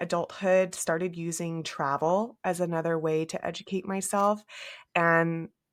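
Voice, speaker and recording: Here is a woman with an American accent. The recording is very clean, with a silent background. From California, Central Valley. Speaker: business operations consultant. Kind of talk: interview. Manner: hesitant, many fillers.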